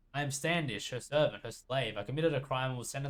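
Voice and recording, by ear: A passage is read out loud. The reading voice sounds natural.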